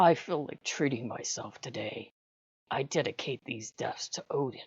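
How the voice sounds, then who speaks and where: A put-on character voice comes through raspy, with a low-to-middle pitch. The pace is moderate. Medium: read story. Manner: calm, smug.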